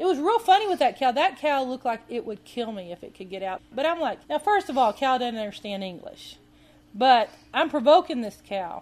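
With a Southern US accent, a woman speaks in a high pitch, her voice making very wide pitch swings and big swings in loudness. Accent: southern US, sweet drawl. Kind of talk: storytelling monologue. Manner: casual, folksy.

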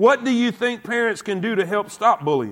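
This man speaks with a Southern US accent. His pitch sits high. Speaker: preacher. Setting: church. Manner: earnest, emphatic, repetitive, stammering, with audience prompts.

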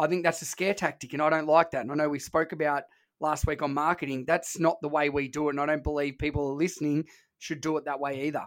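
The speaker goes at a very fast pace with an Australian accent, captured on a very clean recording with a silent background. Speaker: podcast host, fitness trainer. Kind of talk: casual podcast chat. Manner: casual, relaxed.

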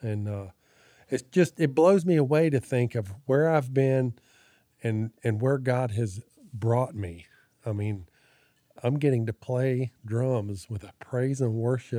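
A man talks very slowly, leaving long, frequent pauses. His medium-pitched voice is dark and mellow, with ordinary pitch variation. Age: 60s. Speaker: church member sharing testimony. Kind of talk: testimony. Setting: home.

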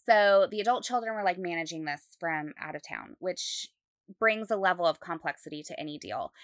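A woman talks at a fairly quick pace in a normal speaking voice, medium in pitch with ordinary pitch variation and big swings in loudness. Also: very clean recording, silent background. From Utah. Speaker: real estate agent, podcast co-host. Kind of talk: casual chat.

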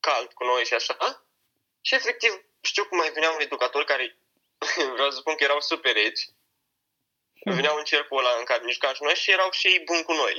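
A man speaks at a fairly quick pace. His speech has long, frequent pauses. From Romania, Iași. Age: young (18). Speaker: young hip-hop artist raised in foster care. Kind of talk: interview.

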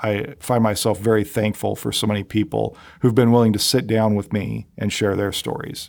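An ordinary speaking voice, a man's at a fairly low pitch, moves at a moderate pace with fairly even intonation on a very clean recording with a silent background. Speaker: podcast host. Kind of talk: reflective monologue. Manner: reflective, conversational.

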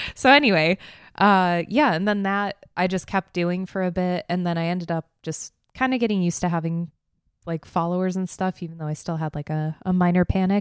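On a very clean recording with a silent background and dry, close sound with no echo, a woman with an unremarkable speaking voice talks at a fairly quick pace in a fairly low pitch with ordinary pitch variation. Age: young. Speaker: podcast co-host, videography business owner. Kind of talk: casual chat. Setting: home living room.

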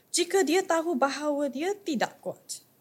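Somewhat breathy woman at a moderate pace, on a very clean recording with a silent background. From Malaysia. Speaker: scripture reader. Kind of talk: reading aloud scripture.

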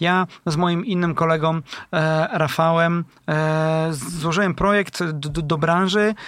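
The man has a high pitch and fairly even intonation. The recording is very clean, with a silent background. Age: 30s. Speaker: startup founder. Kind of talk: interview.

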